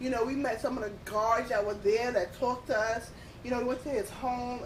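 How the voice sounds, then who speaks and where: A woman's high-pitched voice at a fairly quick pace, with audible room echo. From Queens, New York City. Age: 30s. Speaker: podcast guest. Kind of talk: casual chat. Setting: at the beach.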